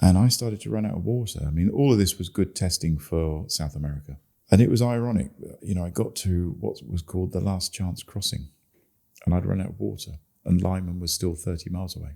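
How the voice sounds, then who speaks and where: A man with an English accent has a very deep, low voice and a dark, mellow tone. He talks at a fairly quick pace with ordinary pitch variation. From England. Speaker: long-distance cyclist. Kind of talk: interview. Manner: hesitant, many fillers.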